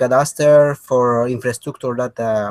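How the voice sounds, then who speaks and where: Speaking with a Spanish accent, a man uses a medium pitch and ordinary pitch variation. His fairly slow delivery has a dry, close sound with no echo. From Peru. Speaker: software engineer. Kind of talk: self-introduction in online meeting. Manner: halting.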